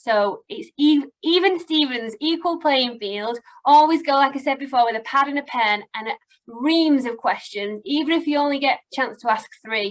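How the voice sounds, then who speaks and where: With a northern English accent, a woman speaks at a moderate pace. Her high pitch rises and falls with lively intonation. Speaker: recruitment company owner. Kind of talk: webinar advice talk. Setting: online webinar.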